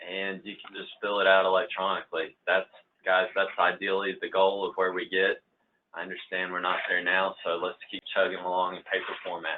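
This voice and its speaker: A man's loudness swings widely as he speaks at a moderate pace. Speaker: engineer leading a training session. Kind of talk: workplace training presentation.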